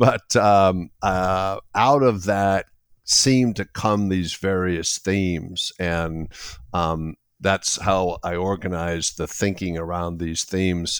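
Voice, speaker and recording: On a very clean recording with a silent background, a man with a very deep, low voice speaks at a very slow pace with fairly even intonation. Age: 60s. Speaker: executive coach and business author. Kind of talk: interview. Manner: halting, many fillers.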